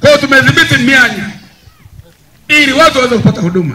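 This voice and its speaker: Over light background noise, a man speaks at a very fast pace in a raised, projected voice with very wide pitch swings. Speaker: politician addressing villagers. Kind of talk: political rally speech. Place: open country. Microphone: handheld.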